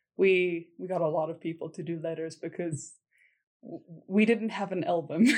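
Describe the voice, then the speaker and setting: With a South African accent, a woman speaks at a moderate pace in a fairly low voice with ordinary pitch variation. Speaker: military spouse, former English teacher. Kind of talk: casual interview.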